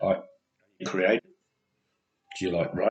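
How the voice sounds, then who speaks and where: A man with an Australian accent. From Australia (Elizabeth, South Australia). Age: 60s. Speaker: vlogger. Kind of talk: personal video message. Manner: halting.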